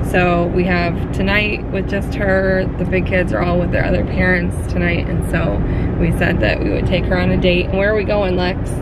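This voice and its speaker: Despite loud background noise, the sound is dry with no echo as a woman speaks at a moderate pace. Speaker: family vlogger. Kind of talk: casual vlog chat. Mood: cheerful, upbeat. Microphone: phone near.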